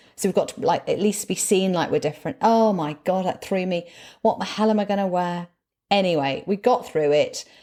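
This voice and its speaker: At a fairly quick pace, a woman with a northern English accent speaks in a medium-pitched, dark, mellow voice with ordinary pitch variation, on a very clean recording with a silent background. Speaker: motivational speaker and former broadcaster. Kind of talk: casual interview chat.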